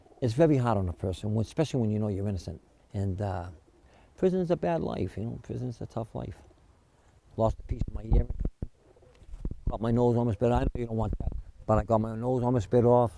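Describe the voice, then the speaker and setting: A man with an American accent talks at a very fast pace and medium pitch, with lively intonation. His speech has long, frequent pauses. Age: 60s. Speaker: exonerated former prisoner. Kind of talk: interview testimony. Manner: halting.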